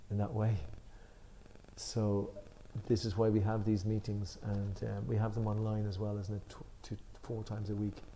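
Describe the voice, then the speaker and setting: In a room with audible echo, a man speaks at a fairly quick pace in a fairly low, monotone, flat voice. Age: 60s. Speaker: spiritual discussion leader. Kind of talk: religious study discussion. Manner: halting.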